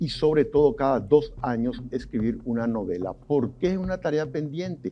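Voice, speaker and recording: With a plain, everyday voice, a man talks at a moderate pace, pitched fairly high, with lively intonation. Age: 60s. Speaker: sociologist and journalist. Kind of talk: TV interview.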